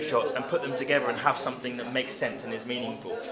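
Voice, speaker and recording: The speech moves at a very fast pace, with noticeable background noise and audible room echo. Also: man. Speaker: videographer. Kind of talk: interview. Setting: on location with camera-mounted mic. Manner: loud.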